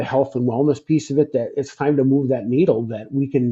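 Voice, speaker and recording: At a fairly quick pace, a somewhat breathy man speaks at a medium pitch with fairly even intonation. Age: 60s. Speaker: former truck driver, sleep health business developer. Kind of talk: interview. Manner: halting, many repetitions.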